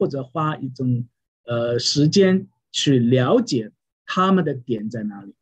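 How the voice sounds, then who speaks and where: This man's voice carries some breathiness. He speaks at a fairly slow pace. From China, Wenzhou (Yueqing). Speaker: pastor. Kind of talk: interview about preaching. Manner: halting, many fillers.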